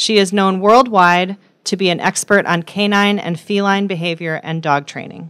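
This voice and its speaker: A moderate pace and ordinary pitch variation against a quiet background. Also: woman. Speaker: speaker. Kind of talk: formal introduction. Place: hall. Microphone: podium.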